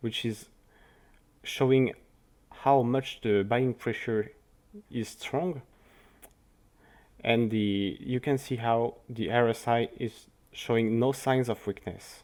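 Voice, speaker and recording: At a very slow pace with long, frequent pauses, a man with a French accent talks at a medium pitch and with fairly even intonation. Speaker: crypto market analyst. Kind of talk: market analysis commentary. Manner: halting.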